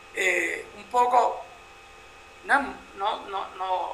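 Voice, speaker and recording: Noticeable background noise surrounds a man's voice. Room echo is audible as well. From Puerto Rico. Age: 50s. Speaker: photojournalist. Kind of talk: interview.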